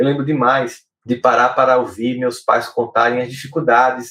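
A man's tone comes across bright and sharp as he talks at an unhurried but not slow speed. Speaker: podcast host and psychologist. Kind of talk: solo talk on emotional life. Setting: live stream video podcast.

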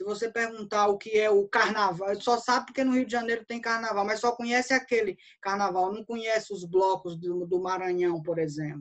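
A woman with a normal speaking voice talks at medium pitch and moderate pace, with ordinary pitch variation. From Brazil, interior of Bahia (Northeast). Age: 40s. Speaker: cordel poet and writer. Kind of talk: casual interview.

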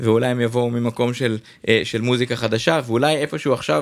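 A man is speaking. He has an ordinary speaking voice. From Israel, Jerusalem. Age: 40s. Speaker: DJ booking agency owner. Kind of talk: casual interview.

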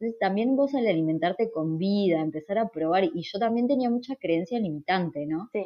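A woman with a Uruguayan accent speaks with ordinary pitch variation. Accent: Rioplatense Spanish (Uruguayan). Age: 30s. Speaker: nutritionist. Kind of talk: interview.

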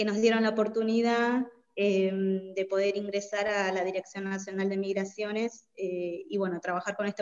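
Talking at an average tempo with mid-range pitch, this woman has an ordinary speaking voice. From Bolivia. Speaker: migrant community worker. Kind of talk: interview.

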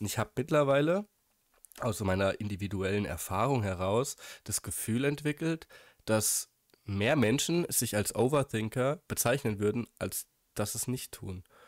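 A man with a strong German accent is heard on a very clean recording with a silent background. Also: medium pitch for a man, lively intonation, moderate pace, dry, close sound with no echo. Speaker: podcast co-host. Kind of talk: casual chat. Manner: hesitant, many fillers.

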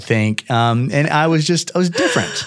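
With an American accent, a man talks in very wide pitch swings as noticeable background noise carries on. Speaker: real estate developer. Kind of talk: interview.

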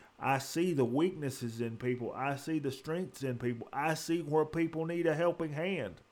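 A man with a plain, everyday voice talks at a fairly high pitch and moderate pace, with ordinary pitch variation and hardly any pauses. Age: 40s. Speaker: podcast host. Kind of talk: solo monologue. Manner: earnest.

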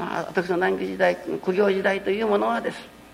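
Background noise is clearly noticeable. Over it, a man speaks fairly quickly. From Japan, Fukuoka (Kurume). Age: 60s. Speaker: religious minister. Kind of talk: public lecture.

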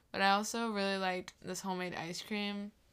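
The speaker has a US Midwestern accent and monotone, flat intonation at a fairly quick pace. The recording is very clean, with a silent background. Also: woman. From Iowa (Wilton). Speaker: college student, ride companion. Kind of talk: casual chat.

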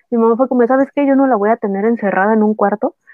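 Over music in the background, a woman speaks very fast in a fairly high voice. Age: 20s. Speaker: cancer survivor and influencer. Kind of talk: casual chat. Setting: remote recording.

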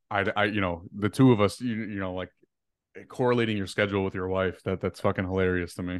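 Against a quiet background, a man speaks at a very fast pace in a fairly low pitch with fairly even intonation. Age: 20s. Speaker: social media creator. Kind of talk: casual chat.

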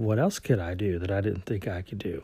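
With an American accent, a man speaks at a moderate pace in a dark, mellow tone, his fairly low voice somewhat breathy. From US South. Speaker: career podcaster. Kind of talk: solo podcast monologue.

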